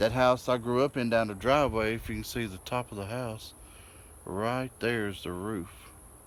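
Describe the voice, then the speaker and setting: Here is an ordinary speaking voice: a man with an American accent at a medium pitch. He keeps to a moderate pace. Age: 40s. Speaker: vlogger. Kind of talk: casual vlog.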